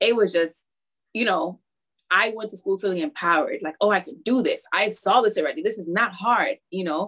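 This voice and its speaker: A woman at a medium pitch talks at a fairly quick pace with ordinary pitch variation. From Harlem, New York, West Indian family. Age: young. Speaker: math teacher and coach. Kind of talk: interview conversation.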